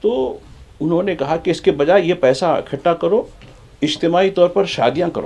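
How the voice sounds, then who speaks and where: This man's voice carries a dark, mellow tone and lively intonation. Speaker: journalist, studio expert. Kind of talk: TV panel discussion. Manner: animated, interrupting.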